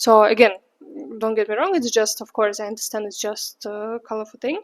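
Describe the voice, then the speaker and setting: A woman talks at a fairly quick pace in a Russian accent. Her pitch is fairly high and her intonation fairly even. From Russia, St. Petersburg. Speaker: vlogger. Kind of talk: casual vlog monologue. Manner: chatty, many fillers.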